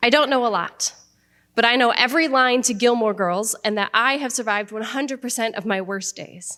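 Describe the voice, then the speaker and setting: With an American accent, the speaker has a bright, sharp tone and ordinary pitch variation in a very clean recording with a silent background. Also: woman. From Iowa, USA. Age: young. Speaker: spoken word poet. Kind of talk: spoken word poetry performance.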